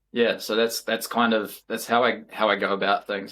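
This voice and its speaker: A man with a New Zealand accent at a fairly quick pace and medium pitch, on a very clean recording with a silent background. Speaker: elite ultra runner. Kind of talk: podcast interview. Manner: animated.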